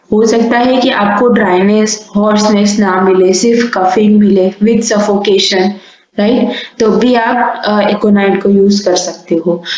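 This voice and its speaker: A soft-spoken woman at medium pitch, flat and monotone with very even loudness, amid audible room echo and noticeable background noise. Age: young. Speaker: homeopathy teacher. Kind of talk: lecture. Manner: speaks softly.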